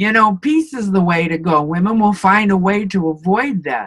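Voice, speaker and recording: A woman with a plain, everyday voice at a medium pitch and lively intonation. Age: 60s. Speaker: interviewee in couple interview. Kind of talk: interview.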